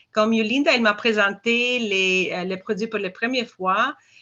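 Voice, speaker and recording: Her pitch is fairly high. The woman speaks with ordinary pitch variation. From Albania. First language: Albanian (speaking French). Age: 50s. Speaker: dental hygiene teacher. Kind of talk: product testimony presentation. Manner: halting, many hesitations.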